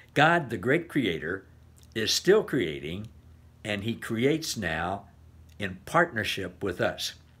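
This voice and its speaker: Very wide pitch swings mark this man's fairly low voice, delivered at a very slow pace with long, frequent pauses. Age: 70s. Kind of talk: devotional talk. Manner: casual with frequent fillers. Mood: warm, enthusiastic, encouraging. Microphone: webcam.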